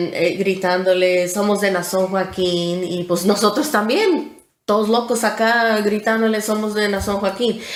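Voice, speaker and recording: Audible room echo surrounds a voice that moves at a fairly slow pace with fairly even intonation. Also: woman. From Texas, Houston. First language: English (speaking Spanish). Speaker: former church member interviewee. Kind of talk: testimony.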